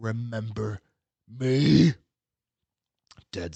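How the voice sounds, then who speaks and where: Putting on a character voice, the man keeps to a medium pitch. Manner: menacing.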